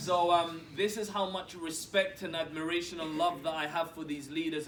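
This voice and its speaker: Monotone, flat speech at a moderate pace with audible room echo. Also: man. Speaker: network marketing executive. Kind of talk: motivational talk. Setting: stage with audience.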